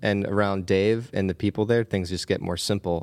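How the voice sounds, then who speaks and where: A man with a Pennsylvania accent and a relaxed tone, on a very clean recording with a silent background and a dry, close sound with no echo. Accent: Pennsylvania American. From Pennsylvania, US. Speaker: cinematographer and adventurer. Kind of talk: casual interview chat. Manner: relaxed, friendly, laughs often.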